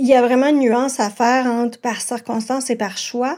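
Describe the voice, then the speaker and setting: Her voice sits at a fairly high pitch with a dark, mellow tone. The woman speaks at a very slow pace. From Quebec, Montreal South Shore. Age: 40s. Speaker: primary school teacher. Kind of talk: testimony.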